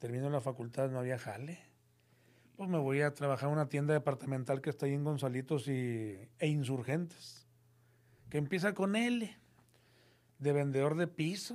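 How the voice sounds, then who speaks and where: A northern Mexican accent at a moderate pace, with lively intonation, long and frequent pauses, and a very clean recording with a silent background. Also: man, fairly high pitch for a man. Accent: northern Mexican (norteño) Spanish. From Monterrey, Mexico. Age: 50s. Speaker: crime reporter. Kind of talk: casual chat. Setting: studio.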